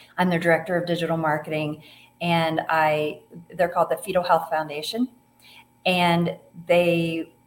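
Here is a woman with an American accent. Her pitch sits fairly low. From US Midwest, Ohio. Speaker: author and breast cancer survivor. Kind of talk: interview conversation.

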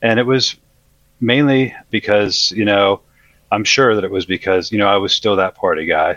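A man with an ordinary speaking voice talks at a moderate pace and fairly low pitch. His loudness stays very even while his pitch varies in an ordinary way. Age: 40s. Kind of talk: testimony.

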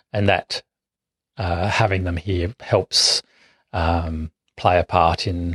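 A man with an Australian accent, very deep, low pitch and monotone, flat intonation, with long, frequent pauses and a dry, close sound with no echo. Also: quiet background. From South Australia, west coast country towns. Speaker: urban ecologist, bat expert. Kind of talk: interview. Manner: halting, many fillers.

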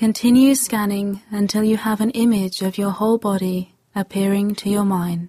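Speaking with hardly any pauses, a woman has a dark, mellow, gentle, calm tone, a medium pitch, fairly even intonation, and a somewhat breathy quality. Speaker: meditation guide. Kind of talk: guided meditation. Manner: slow, calm, soothing; gentle, long pauses between instructions.

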